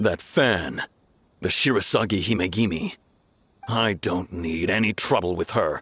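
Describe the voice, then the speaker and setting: A growling, put-on character voice goes at a moderate pace with long, frequent pauses. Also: man, fairly low pitch for a man. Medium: video game. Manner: gruff, commanding.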